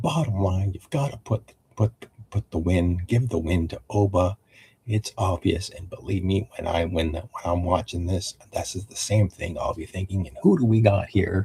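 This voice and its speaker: The somewhat breathy voice shows ordinary pitch variation, with a dry, close sound and no echo. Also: man, fairly low pitch for a man, moderate pace, big swings in loudness. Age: 50s. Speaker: wrestling show recap youtuber. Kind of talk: live-stream show recap. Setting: live stream. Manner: halting, many fillers.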